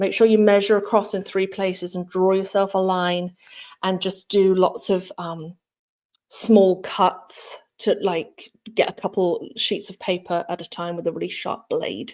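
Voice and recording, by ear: Speaking at a fairly slow pace, a woman has a fairly low pitch, little pitch movement and a slightly mellow tone.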